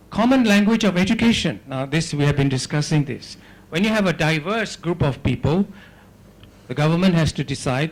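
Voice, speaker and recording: Talking at a fairly quick pace, a man sounds somewhat breathy, and his intonation is lively. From Singapore. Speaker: academic conference speaker. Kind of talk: lecture.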